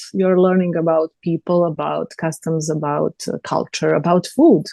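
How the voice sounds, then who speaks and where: Speaking at a fairly slow pace with a Serbian accent, a woman has a dark, mellow tone and ordinary pitch variation, heard dry and close with no echo against a quiet background. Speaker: TV host and journalist. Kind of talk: interview. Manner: halting.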